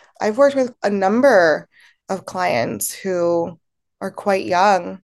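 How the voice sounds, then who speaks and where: A woman with an American accent talks at a medium pitch against a quiet background. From Baltimore, Maryland, US. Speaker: play therapist. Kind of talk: podcast interview.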